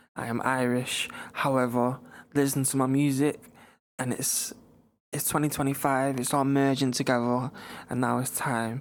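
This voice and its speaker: With a Manchester accent, a man speaks at a moderate pace and medium pitch in a flat monotone, leaving long, frequent pauses. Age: young. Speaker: singer and rapper. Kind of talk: interview.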